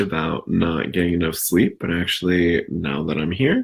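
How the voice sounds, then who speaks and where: A man is speaking. His voice is quiet. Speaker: meditation teacher. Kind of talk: guided meditation intro, casual talk. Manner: quiet, soft-spoken; halting, many fillers.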